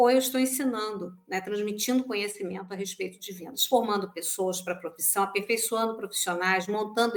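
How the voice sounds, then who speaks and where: Speaking at a fairly quick pace, a woman with medium pitch and fairly even intonation has a plain, everyday voice. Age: 60s. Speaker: sales professional and trainer. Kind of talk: podcast interview.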